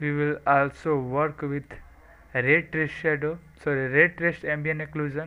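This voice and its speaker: Here a man speaks with a non-native accent at a fairly high pitch. His tone is bright and sharp, his intonation fairly even, and his pace fairly slow. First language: not English. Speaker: software tutorial maker. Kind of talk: tutorial. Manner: soft-spoken, not full volume.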